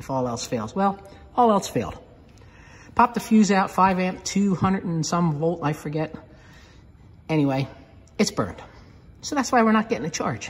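The speech moves at a moderate pace. Long, frequent pauses break it up. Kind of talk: casual vlog chat. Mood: relaxed, matter-of-fact. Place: garage. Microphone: phone near.

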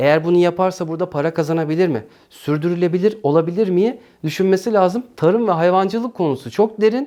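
A man's high-pitched voice, dark and mellow in tone, moves at a fairly quick pace with ordinary pitch variation. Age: 40s. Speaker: YouTuber and small farmer. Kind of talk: interview answers.

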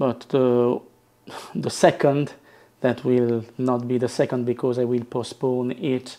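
A man's voice sits at a medium pitch with little pitch movement. He talks slowly in a dark, mellow tone.

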